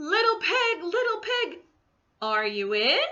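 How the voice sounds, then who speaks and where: A woman puts on a squeaky character voice. Her pitch is extremely high and her pace fairly slow. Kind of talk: children's picture book read aloud. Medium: read story. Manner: chatty, self-justifying.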